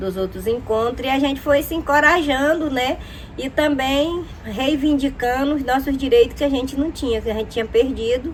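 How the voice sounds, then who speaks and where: Noticeable background noise runs under this clip. A woman speaks at a fairly slow pace. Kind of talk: testimony. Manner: hesitant, frequent fillers.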